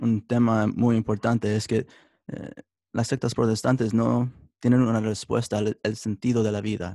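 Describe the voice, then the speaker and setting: Very slowly, no, at a fairly slow pace, a man speaks with a medium pitch, a dark, mellow tone and monotone, flat intonation in a very clean recording with a silent background and a dry, close sound with no echo. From United States, Mexican-American family. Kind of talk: interview testimony. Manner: halting, many fillers.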